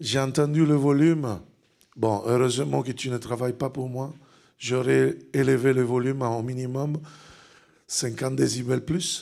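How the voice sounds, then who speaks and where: With an Italian accent and a dark, mellow tone, a man speaks at a fairly slow pace and medium pitch, leaving long, frequent pauses. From Italy. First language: Italian (speaking French). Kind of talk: sermon. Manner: loud; animated.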